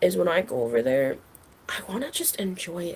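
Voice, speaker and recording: A woman speaks at a moderate pace with very wide pitch swings and vocal fry. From Jamaica. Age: 20s. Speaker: recent university graduate. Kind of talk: podcast interview. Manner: casual, filler-heavy (like, um, you know).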